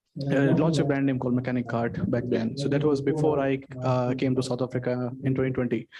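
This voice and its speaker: A man with an Indian accent speaks very fast at a medium pitch, his intonation flat and monotone and his loudness very even, over noticeable background noise. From India, Delhi. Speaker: startup investor. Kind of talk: interview. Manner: halting.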